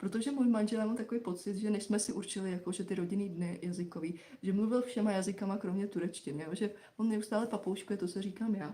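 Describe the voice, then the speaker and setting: A woman's medium-pitched voice rushes along at a very fast pace with fairly even intonation. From Czechia. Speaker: live stream co-host, mother. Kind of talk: casual chat. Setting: live stream.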